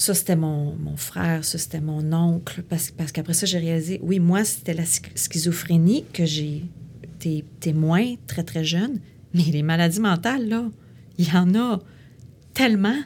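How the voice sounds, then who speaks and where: In a Quebec accent, a woman speaks somewhat breathily at a fairly slow pace, with a fairly low pitch and ordinary pitch variation. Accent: Québécois French. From Quebec City. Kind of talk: interview. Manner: halting.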